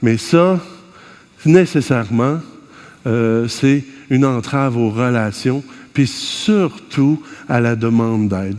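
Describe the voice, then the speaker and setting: Against noticeable background noise, someone speaks in a Quebec accent with an animated tone and lively intonation. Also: man. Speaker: conference speaker, family therapist. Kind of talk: conference talk. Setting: stage with audience.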